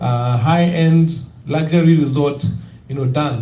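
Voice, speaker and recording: A man amid noticeable background noise and audible room echo. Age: young. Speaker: real estate company representative. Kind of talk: presentation with Q&A at community meeting.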